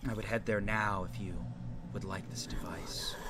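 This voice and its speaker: Loud background noise surrounds a man doing a put-on character voice at a fairly low pitch. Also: moderate pace. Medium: actual play. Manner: earnest, measured.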